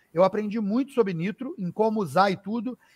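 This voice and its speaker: This man speaks with a high pitch. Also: dry, close sound with no echo. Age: 50s. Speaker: racing driver and car content creator. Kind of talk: casual chat.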